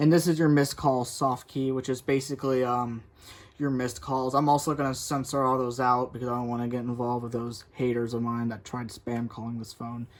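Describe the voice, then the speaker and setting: A man speaks at medium pitch and a fairly quick pace, his intonation flat and monotone. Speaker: tech reviewer. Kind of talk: tutorial. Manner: fast; halting.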